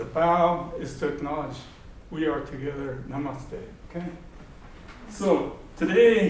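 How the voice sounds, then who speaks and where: A man with a fairly high pitch talks at a fairly slow pace with ordinary pitch variation and long, frequent pauses, with audible room echo around him. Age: 80s+. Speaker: war survivor. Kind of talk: lecture. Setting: lecture hall with audience. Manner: animated; halting.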